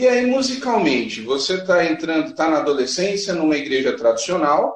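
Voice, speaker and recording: Pitch swings very widely in this man's voice. His pace stays moderate. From Brazil, São Paulo. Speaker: podcast host. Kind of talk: casual interview. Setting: live stream.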